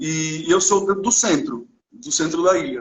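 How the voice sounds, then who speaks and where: With a Spanish accent, a man speaks at a fairly slow pace. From Cuba, Santa Clara. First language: Spanish (speaking Portuguese). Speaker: visual artist. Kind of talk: interview. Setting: live video call. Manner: halting.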